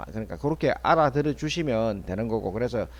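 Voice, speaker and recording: A man with a Busan accent, lively intonation and a quiet background. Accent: Busan dialect (Gyeongsang). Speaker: stock market commentator. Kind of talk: market analysis broadcast. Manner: casual, repetitive.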